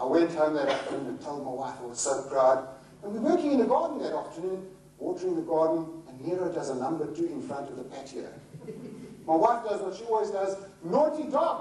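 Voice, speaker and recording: A man's fairly quick, lively speech with big swings in loudness, audible room echo and light background noise. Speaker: conference speaker. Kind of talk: humorous keynote storytelling. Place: hall.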